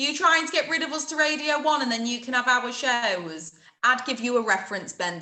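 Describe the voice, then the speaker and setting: Against noticeable background noise, a woman with a Lincolnshire accent talks at a fairly quick pace in a high pitch with very wide pitch swings. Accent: Grimsby. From Grimsby, northern England. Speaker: radio presenter. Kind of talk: casual interview chat. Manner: animated.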